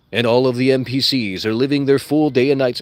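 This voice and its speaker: This man uses a put-on character voice at a medium pitch. His pace is fairly quick. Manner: dramatic, smooth narration.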